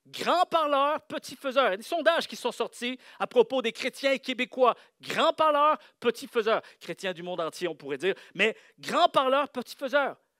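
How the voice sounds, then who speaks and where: A man speaks with extremely high pitch, lively intonation and a bright, sharp tone, his voice raised and projected with big swings in loudness. The sound is dry and close with no echo, on a very clean recording with a silent background. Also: moderate pace. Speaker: pastor. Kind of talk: sermon. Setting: church with congregation. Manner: animated.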